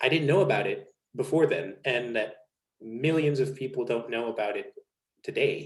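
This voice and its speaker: Somewhat breathy, a man with a medium-pitched voice speaks at a moderate pace. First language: Spanish. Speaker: naturism content creator. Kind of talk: casual interview conversation.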